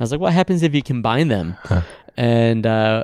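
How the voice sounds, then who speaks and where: A man with an American accent has a dark, mellow tone, recorded in a dry, close sound with no echo. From Ohio, Cleveland area. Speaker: climber and skincare business founder. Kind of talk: casual interview chat. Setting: conference room at trade show.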